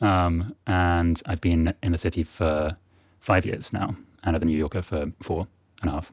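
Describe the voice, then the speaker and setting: A man with a very deep, low pitch and a southern English accent, fairly even intonation, a moderate pace, and a dry, close sound with no echo. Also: very clean recording, silent background. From England, near Oxford. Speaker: magazine fact checker. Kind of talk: interview.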